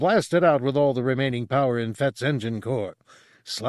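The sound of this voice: An unforced voice reads the text out.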